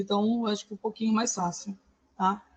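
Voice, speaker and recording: A woman speaks in a fairly high, somewhat breathy voice with monotone, flat intonation. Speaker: schoolteacher, course participant. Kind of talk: online class presentation. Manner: fast.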